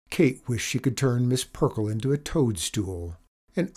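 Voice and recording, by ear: The speaker is reading aloud in a natural voice. Behind it is a quiet background.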